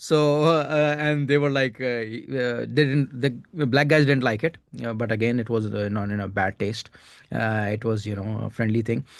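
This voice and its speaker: A man's medium-pitched voice, with ordinary rise and fall in pitch, moves along at a moderate speed. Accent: Indian. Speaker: stand-up comedian. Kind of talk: casual chat. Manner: halting, many fillers.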